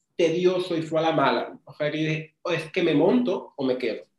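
This man talks at a moderate pace. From Dominican Republic, rural Pimentel. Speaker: marketing agency owner. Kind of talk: casual interview. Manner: relaxed.

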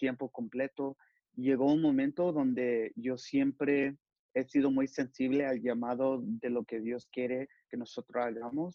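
Speaking in a plain, everyday voice, a man keeps a medium pitch, a fairly slow pace and fairly even intonation. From Los Angeles, California. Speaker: youth pastor and sportswear company employee. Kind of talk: interview.

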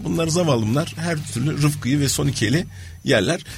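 A man at a fairly high pitch and a moderate pace, with music in the background. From Turkey. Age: 50s. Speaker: innovation and change management consultant. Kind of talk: radio interview.

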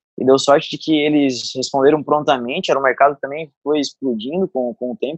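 With an unremarkable speaking voice, a man talks at a fairly quick pace and fairly high pitch, using ordinary pitch variation, in a dry, close sound with no echo. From southern Santa Catarina, Brazil (Araranguá). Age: 30s. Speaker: CrossFit coach and gym owner. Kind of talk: casual interview.

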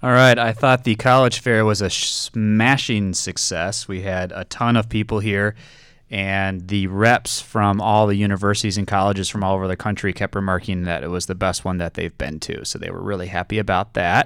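A man with a plain, everyday voice talks at a moderate pace and a fairly low pitch, with hardly any pauses. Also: fairly even intonation, very clean recording, silent background. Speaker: school administrator, co-host. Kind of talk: news announcements.

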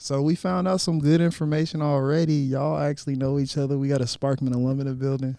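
A man talks at a fairly quick pace in an unremarkable speaking voice. His pitch is fairly high. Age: 20s. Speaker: podcast co-host. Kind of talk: casual interview. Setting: remote call.

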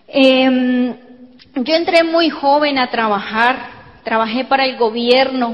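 Very slowly and with fairly even intonation, a woman speaks at a high pitch through noticeable background noise and audible room echo. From Colombia. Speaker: network marketing speaker. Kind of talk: motivational talk. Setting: stage with audience.

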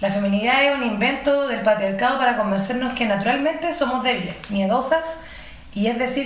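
At a moderate pace, a woman with a Chilean accent talks at a high pitch with ordinary pitch variation, over noticeable background noise. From Chile, Quillota. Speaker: radio co-host. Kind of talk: casual chat.

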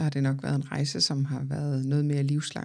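On a very clean recording with a silent background, the speech races along at a very fast pace. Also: woman. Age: 30s. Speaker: podcast host and therapist. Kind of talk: personal monologue.

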